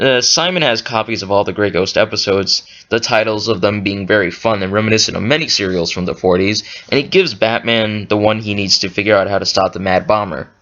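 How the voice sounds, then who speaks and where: Over noticeable background noise, a man talks very fast in a fairly low voice with ordinary pitch variation. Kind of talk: cartoon episode review. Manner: quiet, not at full volume.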